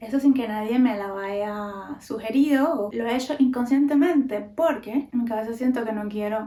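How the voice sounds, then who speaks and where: A woman with a Cuban accent, fairly high pitch and moderate pace, against noticeable background noise. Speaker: podcaster. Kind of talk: casual talk to camera.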